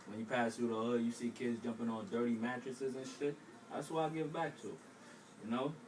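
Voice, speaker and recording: A man with an American accent talks at a fairly quick pace against noticeable background noise. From Brooklyn, New York. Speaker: aspiring author. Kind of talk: interview.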